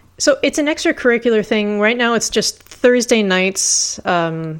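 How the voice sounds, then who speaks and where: Using an unremarkable speaking voice, a woman speaks at a fairly slow pace with lively intonation. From California (Carlsbad), moved to Montreal at 11. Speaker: bagpiper and music instructor. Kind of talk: casual chat.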